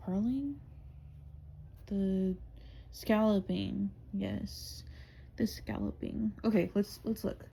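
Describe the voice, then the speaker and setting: Long, frequent pauses break up a woman's very slow speech. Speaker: crochet vlogger. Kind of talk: casual crafting vlog. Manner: casual with frequent 'um' fillers.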